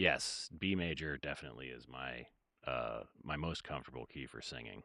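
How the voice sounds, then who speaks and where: Against a quiet background and in a dry sound with no echo, a man speaks at a moderate pace with a very deep, low pitch and ordinary pitch variation. His tone is bright and sharp, with vocal fry and big swings in loudness. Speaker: music producer streamer. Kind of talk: casual livestream chat. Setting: livestream. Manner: halting.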